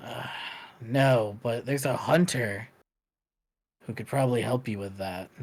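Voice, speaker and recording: A man speaks in a raspy, put-on character voice at medium pitch. He keeps a moderate pace with long, frequent pauses. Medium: actual play. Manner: weary, blunt.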